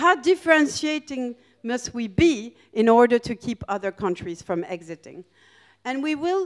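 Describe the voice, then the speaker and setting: The pace is moderate as a woman talks. Nothing much sounds behind her, just a quiet background. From France and Greece. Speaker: professor of international relations. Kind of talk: lecture. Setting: stage with audience. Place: hall. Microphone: handheld.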